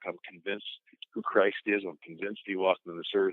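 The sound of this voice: With fairly even intonation, a man talks at a low pitch and a fairly quick pace in a dry, close sound with no echo.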